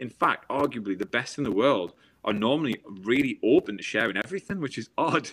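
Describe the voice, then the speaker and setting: Talking at a fairly quick pace with lively intonation, a man with a northeast English accent is heard in a dry, close sound with no echo on a very clean recording with a silent background. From northeast England. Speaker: former Olympic swimmer and motivational speaker. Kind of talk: interview conversation.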